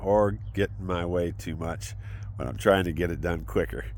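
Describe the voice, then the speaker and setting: At a moderate pace, a man speaks amid audible room echo. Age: 60s. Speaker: military veteran vlogger. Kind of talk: personal vlog monologue. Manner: halting, many fillers.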